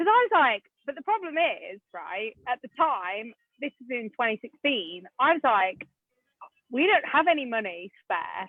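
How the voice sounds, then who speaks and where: Her tone animated, a woman speaks at a high pitch with very wide pitch swings. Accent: English. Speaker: property investor. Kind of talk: podcast interview.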